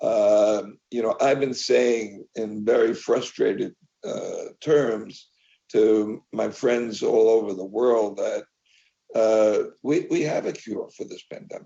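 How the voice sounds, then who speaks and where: A man with an American accent speaks at a very slow pace, with big swings in loudness. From US, New York. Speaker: media industry executive. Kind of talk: interview. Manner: halting, many fillers and repeats.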